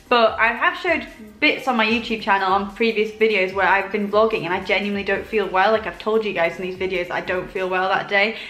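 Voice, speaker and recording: Over noticeable background noise, someone talks at a very fast pace with hardly any pauses and fairly even intonation. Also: woman, medium pitch for a woman. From northern England, village near York. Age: 20s. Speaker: lifestyle YouTuber. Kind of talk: casual Q&A chat. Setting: sitting at home, comfy. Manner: relaxed, chatty.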